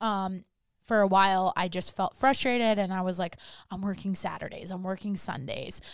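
A woman speaks in a plain, everyday voice at medium pitch and a moderate pace, with fairly even intonation. The recording is very clean, with a silent background. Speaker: wellness coach and podcast host. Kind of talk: casual interview chat.

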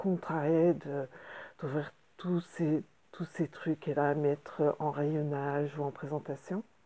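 Very slow and dark, mellow in tone, a woman's very deep, low voice holds a fairly even intonation. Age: 50s. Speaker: interior decorator. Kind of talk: solo podcast monologue. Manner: halting, many hesitations.

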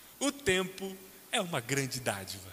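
A man's raised, projected voice at a very slow pace, with a Brazilian accent. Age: 30s. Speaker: pastor. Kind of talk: sermon.

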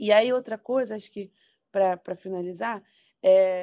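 The voice has a dark, mellow tone, fairly even intonation and a moderate pace. The recording is very clean with a silent background, dry and close with no echo. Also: woman. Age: 20s. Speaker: political communications professional. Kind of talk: podcast interview.

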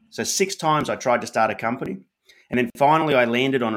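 Speaking at a fairly quick pace, a man with an Australian accent shows ordinary pitch variation. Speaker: author and entrepreneur. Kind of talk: casual interview chat. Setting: live stream video call.

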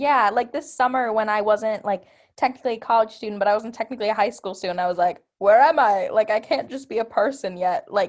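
A woman's ordinary speaking voice in an American accent, fairly high in pitch, with ordinary pitch variation, a fairly quick pace and hardly any pauses against a quiet background. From Milwaukee suburbs, Wisconsin. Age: young. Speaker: college radio host. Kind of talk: casual chat. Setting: studio.

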